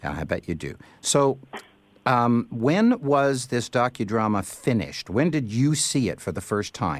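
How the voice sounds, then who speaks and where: A man with a Canadian accent talks at a fairly slow pace with very wide pitch swings, in a very clean recording with a silent background. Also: medium pitch for a man. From Canada. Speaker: radio host. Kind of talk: interview.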